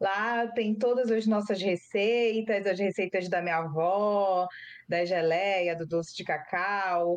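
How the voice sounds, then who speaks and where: Very slow delivery with fairly even intonation. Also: woman, medium pitch for a woman. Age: 30s. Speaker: cocoa farmer and lawyer. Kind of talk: interview. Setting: video call.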